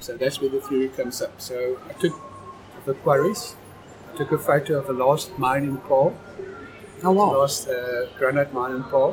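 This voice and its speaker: With a South African accent, a man speaks at a moderate pace and a fairly high pitch. He leaves long, frequent pauses over noticeable background noise. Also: ordinary pitch variation. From South Africa, Knysna. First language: Afrikaans. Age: 50s. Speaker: amateur documentary photographer. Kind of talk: casual chat.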